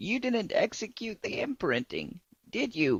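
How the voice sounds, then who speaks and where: Put-on character voice, fairly high in pitch, at a moderate pace. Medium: game stream.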